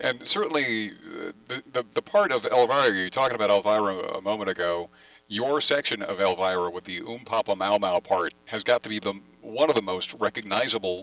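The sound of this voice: A man speaks at a fairly low pitch with ordinary pitch variation and a bright, sharp tone, recorded dry and close with no echo.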